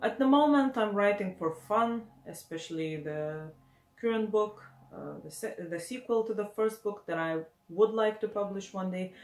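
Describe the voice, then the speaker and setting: A woman in a Lithuanian accent, medium pitch, ordinary pitch variation, moderate pace, noticeable background noise. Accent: non-native, Lithuanian. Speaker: aspiring author, booktuber. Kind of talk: casual vlog talk. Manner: hesitant, many fillers.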